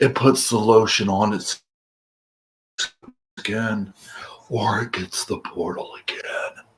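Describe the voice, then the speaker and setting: A man puts on a raspy character voice at a medium pitch. He goes at a fairly slow pace with long, frequent pauses. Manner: menacing, taunting.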